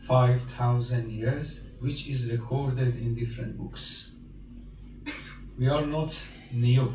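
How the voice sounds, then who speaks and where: A man with a Persian accent at a very slow pace, long, frequent pauses, audible room echo and noticeable background noise. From Iran. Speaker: Iranian cleric or diplomat speaking at a memorial gathering. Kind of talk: speech at a condolence meeting. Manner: halting.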